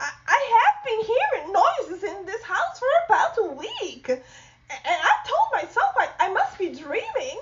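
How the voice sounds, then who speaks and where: A woman puts on a character voice at an extremely high pitch. She speaks at a moderate pace with lively intonation. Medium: read story. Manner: stammering, flustered.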